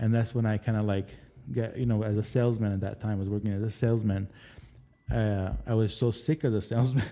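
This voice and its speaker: A man speaks very fast in an Arabic accent. His voice is fairly low in pitch, with a dark, mellow tone. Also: fairly even intonation. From Lebanon. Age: 40s. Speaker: casting director. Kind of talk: interview. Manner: halting.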